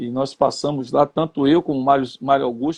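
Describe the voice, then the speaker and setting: This man has an ordinary speaking voice, pitched fairly high. He keeps a moderate pace and fairly even intonation. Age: 50s. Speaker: retired footballer and coach. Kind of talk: interview.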